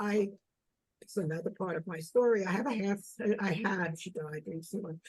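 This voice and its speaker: A woman's somewhat breathy voice at medium pitch, with ordinary pitch variation and a moderate pace. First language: German. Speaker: author. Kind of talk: interview. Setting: video call. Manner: halting.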